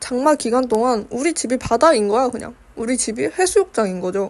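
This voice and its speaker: The words come out mumbled at a fairly quick pace. Pitch swings very widely throughout. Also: woman. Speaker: art youtuber. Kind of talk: casual chat while painting. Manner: mumbled pronunciation.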